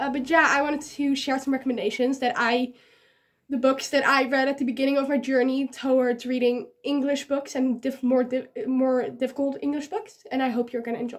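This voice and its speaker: At a fairly quick pace, a woman with a Dutch accent speaks at a high pitch with fairly even intonation. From Netherlands. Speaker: book vlogger. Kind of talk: casual talk to camera.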